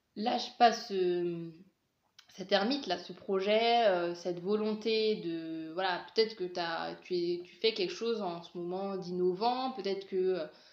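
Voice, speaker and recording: Speaking at a very slow pace, a woman keeps a medium pitch and fairly even intonation while her loudness swings widely. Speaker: tarot card reader. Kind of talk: tarot reading to camera. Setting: filmed face cam. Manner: hesitant, many fillers.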